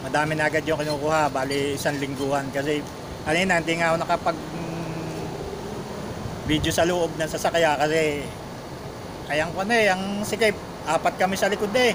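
A man at a fairly quick pace over noticeable background noise. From Philippines. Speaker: overseas worker vlogger. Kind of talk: casual vlog narration. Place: shop. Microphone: phone near.

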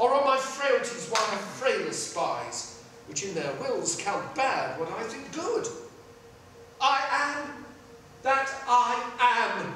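Speech at a very slow pace rings with strong room echo over light background noise. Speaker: stage actor. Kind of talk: shakespeare sonnet and soliloquy performance. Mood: brooding, introspective. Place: stage. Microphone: camera far.

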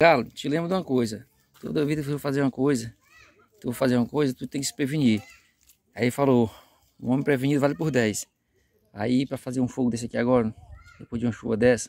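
Over crowd noise in the background, a man talks at a very fast pace with ordinary pitch variation, the sound dry with no echo. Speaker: fishing vlogger. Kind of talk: casual vlog chat. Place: waterside. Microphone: phone near.

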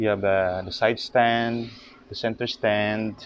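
The sound is dry with no echo as a man talks fairly slowly over light background noise. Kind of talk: casual walkthrough commentary. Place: garage. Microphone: phone near.

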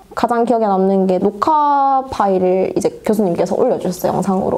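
A woman moves at a fairly quick pace, using lively intonation. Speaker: student reporter. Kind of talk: casual interview chat. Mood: cheerful, laughing. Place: studio. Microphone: lapel.

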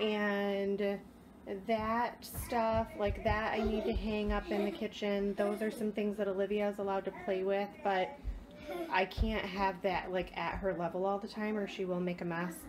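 A woman speaks at a fairly slow pace. Her pitch moves very little. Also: medium pitch for a woman.

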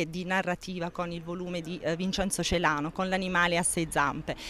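Light background noise sits behind a woman with an unremarkable speaking voice, fairly low in pitch. She keeps a moderate pace and fairly even intonation, with a dry sound and no echo. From Basilicata, Italy (Rotondella, Matera province); Basilicata, Italy. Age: young. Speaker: publisher. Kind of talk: interview. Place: street. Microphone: handheld.

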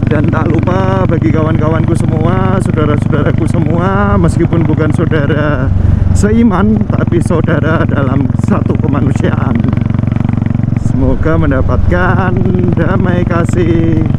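A man's voice at a fairly slow pace, dry with no echo, over loud background noise. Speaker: motovlogger. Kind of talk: casual vlog chat. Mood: warm, friendly. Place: motorbike.

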